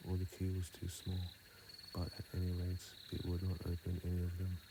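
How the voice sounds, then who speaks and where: In a calm tone, a man with a very deep, low pitch speaks in a monotone, flat intonation against noticeable background noise. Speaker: ASMR reader / sleep content creator. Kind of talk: sleep story reading. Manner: soft, calm, slow.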